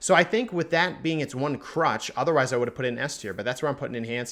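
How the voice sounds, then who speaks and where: A man's fairly high voice with lively intonation, on a very clean recording against a silent background. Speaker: gaming video creator. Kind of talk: tier list commentary. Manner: fast.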